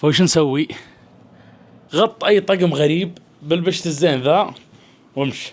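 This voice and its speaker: Lively intonation from a man speaking at a moderate pace. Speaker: vlogger. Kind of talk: casual vlog chat. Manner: loud.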